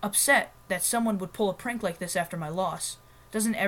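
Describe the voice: The clip is plain reading aloud, with ordinary pitch variation.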